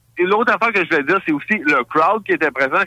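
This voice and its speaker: With a bright, sharp tone, a man uses a raised, projected voice in a dry, close sound with no echo. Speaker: radio columnist. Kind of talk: casual radio discussion.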